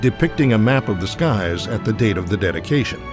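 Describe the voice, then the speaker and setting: A man speaks at a fairly quick pace with lively intonation. Music plays in the background. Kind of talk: documentary narration.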